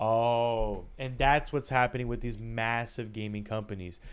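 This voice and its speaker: A man speaks with music in the background. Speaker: video game streamer. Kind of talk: casual live stream chat. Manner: fast; animated, ranting.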